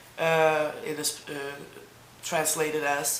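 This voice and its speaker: Putting on a character voice, a man mumbles at a fairly high pitch and fairly slow pace in a monotone, flat delivery, with audible echo. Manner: mumbling.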